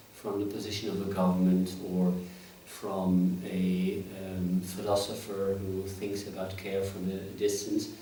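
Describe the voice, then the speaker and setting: Noticeable background noise and audible room echo surround the recording. A man with a fairly low pitch speaks at a very slow pace. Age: 60s. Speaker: professor. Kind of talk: interview. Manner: halting.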